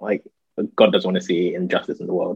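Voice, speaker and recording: The speaker is a man. He talks with a London accent. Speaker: church youth worker. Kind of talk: casual interview.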